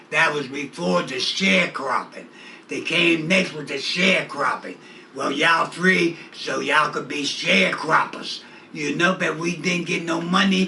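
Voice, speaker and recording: A man speaks at a fairly slow pace with fairly high pitch and ordinary pitch variation over noticeable background noise. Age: 70s. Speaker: community activist. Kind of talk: interview. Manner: animated.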